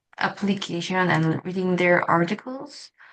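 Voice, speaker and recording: A woman of medium pitch speaks with a non-native accent against a quiet background. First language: not English. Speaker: English learner vlogger. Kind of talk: casual monologue vlog. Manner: halting, with self-corrections.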